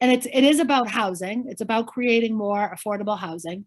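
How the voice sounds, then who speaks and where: In a very clean recording with a silent background, a woman with a Boston accent speaks at a fairly high pitch. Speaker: politician. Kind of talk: interview answer.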